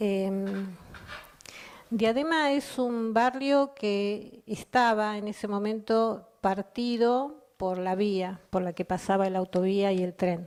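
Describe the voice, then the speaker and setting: Very slow in pace, a woman speaks with ordinary pitch variation. Her pitch is medium. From Argentina, Chubut (Comodoro Rivadavia area). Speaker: poet. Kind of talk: personal testimony.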